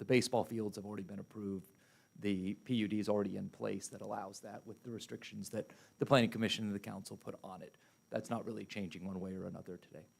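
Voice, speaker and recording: Doing a put-on character voice, a man rattles along at a very fast pace, hoarse and fairly low in pitch, with fairly even intonation. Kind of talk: formal civic meeting speech.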